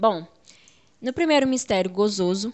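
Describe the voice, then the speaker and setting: Here a woman talks with lively intonation. Her pitch sits fairly high. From Brazil, Espírito Santo (Muniz Freire). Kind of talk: religious teaching interview. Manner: frequent fillers and hesitations.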